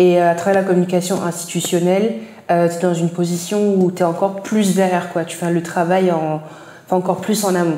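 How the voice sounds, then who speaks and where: Woman's fairly low-pitched voice at a fairly quick pace, monotone and flat, with audible room echo and noticeable background noise. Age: 20s. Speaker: marketing and branding professional. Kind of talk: interview. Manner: hesitant, many fillers.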